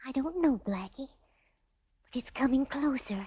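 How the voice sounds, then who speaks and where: This female-sounding voice is a put-on character voice, high in pitch. It moves at a moderate pace. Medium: audio drama. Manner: soft, wondering.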